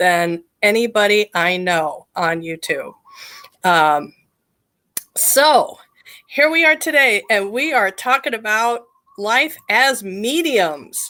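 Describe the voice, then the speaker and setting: A loud woman's fairly high voice at a very slow pace, with very wide pitch swings. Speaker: psychic medium and live show host. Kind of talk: live stream chat. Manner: animated.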